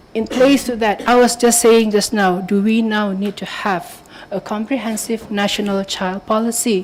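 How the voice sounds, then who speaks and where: A woman speaks at a moderate pace in a fairly high pitch with fairly even intonation, noticeable background noise behind her. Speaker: policy speaker at round table. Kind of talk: conference presentation. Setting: round table discussion with audience. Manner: hesitant, with fillers. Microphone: mic was too far, moved nearer.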